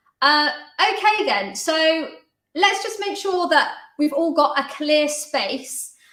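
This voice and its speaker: A woman speaks very slowly in a high, bright, sharp tone. Her pitch swings very widely, and the room echo is audible. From London. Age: 20s. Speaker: dance teacher and choreographer. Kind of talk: exercise class hosting.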